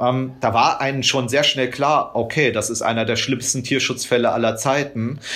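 The delivery moves at a moderate pace in a monotone, flat intonation with hardly any pauses. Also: man, medium pitch for a man. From rural Germany. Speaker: animal rights activist. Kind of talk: interview.

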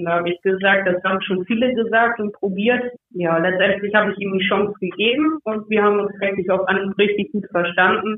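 A woman speaks fairly quickly with hardly any pauses. She has an unremarkable speaking voice at a medium pitch, with fairly even intonation. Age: 20s. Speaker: amateur footballer. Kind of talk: casual interview.

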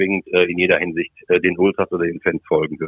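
Talking at a very fast pace is a man. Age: 50s. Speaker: football commentator. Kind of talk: interview.

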